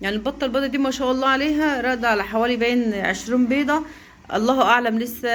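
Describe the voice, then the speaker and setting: A woman talking at a very fast pace, fairly high in pitch, with an Egyptian accent. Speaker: poultry-raising vlogger. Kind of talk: casual vlog.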